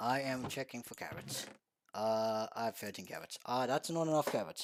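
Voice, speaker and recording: The man's voice sits at a medium pitch, moving at a moderate pace with ordinary pitch variation. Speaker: video game streamer. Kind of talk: casual gameplay livestream chat. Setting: livestream. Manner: halting, frequent restarts and stumbles.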